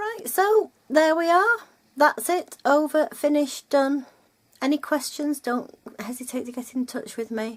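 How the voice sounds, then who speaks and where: A woman with a Lancashire accent talks at a fairly slow pace in a high pitch, with very wide pitch swings. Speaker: textile art teacher. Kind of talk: casual chat; tutorial. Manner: chatty, rambling.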